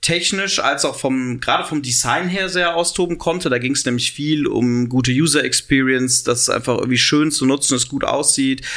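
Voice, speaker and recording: A man with an unremarkable speaking voice talks at a moderate pace with hardly any pauses. His pitch is fairly high and his loudness very even. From Cologne, western Germany. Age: 30s. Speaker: entrepreneur and university chancellor. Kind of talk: interview.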